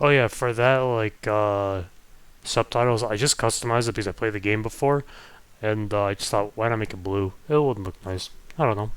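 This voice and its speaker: A soft-spoken man with a fairly low pitch at a fairly quick pace despite long, frequent pauses, on a very clean recording with a silent background. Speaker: gaming streamer. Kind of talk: live gameplay commentary. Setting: home stream setup near family bedrooms. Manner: quiet, speaking softly; casual, hesitant with fillers.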